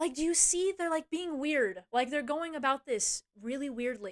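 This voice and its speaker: Speaking at a fairly slow pace with lively intonation, a woman is heard in a dry, close sound with no echo on a very clean recording with a silent background. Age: 20s. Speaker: streamer. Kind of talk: casual chat. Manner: animated.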